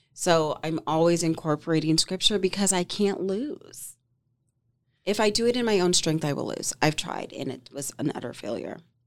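In a very clean recording with a silent background, a woman speaks with a normal speaking voice, fairly low in pitch, with lively intonation. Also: moderate pace. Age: 40s. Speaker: boutique owner and bridal stylist. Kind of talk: casual chat.

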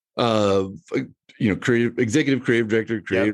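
Over a quiet background, a man talks with an American accent. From US Midwest. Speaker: agency founder and CEO. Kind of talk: interview. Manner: hesitant, many fillers.

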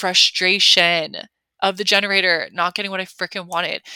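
In a very clean recording with a silent background, a woman speaks in an animated, bright, sharp tone, the sound dry and close with no echo. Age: 30s. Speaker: spiritual life coach and podcast host. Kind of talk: casual solo podcast monologue.

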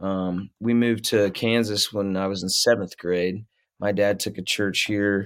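In a US Midwestern accent, a man talks at a fairly slow pace with a fairly low pitch and monotone, flat intonation, on a very clean recording with a silent background. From Ohio, US Midwest (Middletown). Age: 30s. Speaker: musician. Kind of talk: casual chat.

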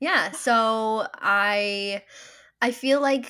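The background is silent and the recording very clean as a woman talks in a fairly high register. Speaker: menstrual health coach. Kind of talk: interview. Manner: calm, poised.

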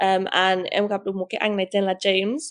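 A woman's medium-pitched voice with an English accent, at a moderate pace over a quiet background. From England. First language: English (speaking Vietnamese). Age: 20s. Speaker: business owner. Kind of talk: casual interview. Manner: halting, code-switching Vietnamese and English.

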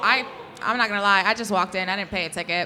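The speaker talks in a New York accent amid noticeable background noise. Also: woman. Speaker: wrestling fan. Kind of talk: live podcast casual chat. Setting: stage with audience. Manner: excitable; loud.

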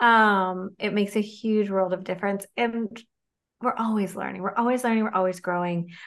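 A woman's normal speaking voice, medium in pitch, with fairly even intonation, a moderate pace and a quiet background. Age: 40s. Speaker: dietitian, clinical executive. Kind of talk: casual interview chat.

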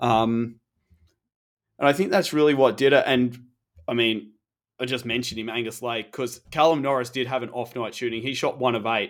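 With an Australian accent, a man talks at a medium pitch with ordinary pitch variation on a very clean recording with a silent background. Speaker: basketball podcast co-host. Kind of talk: casual chat.

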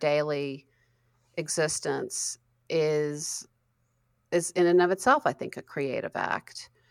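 Very slow speech with ordinary pitch variation in an American accent. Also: woman, very clean recording, silent background. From US South, Western North Carolina. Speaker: author and creativity coach. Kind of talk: interview.

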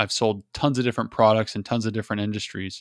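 In a very clean recording with a silent background, a man speaks in a flat monotone. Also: dry, close sound with no echo. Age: 30s. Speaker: sales podcast host. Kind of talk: solo podcast intro monologue. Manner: casual, conversational with repetitions.

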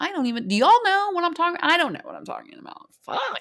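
The voice belongs to a woman. She sounds animated. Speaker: podcast host, military veteran, mother. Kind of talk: casual solo monologue.

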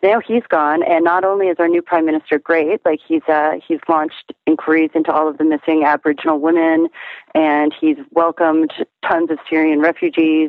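With an Ontario accent, a woman speaks in a fairly low, monotone, flat voice at very even loudness. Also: fairly quick pace. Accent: Canadian (Ontario). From Canada, Toronto. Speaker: musician. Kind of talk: casual chat.

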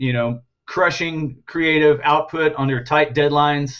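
In a plain, everyday voice, a man keeps to a moderate pace, his pitch shifting in an ordinary way. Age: 50s. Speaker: graphic artist and art director. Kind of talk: interview.

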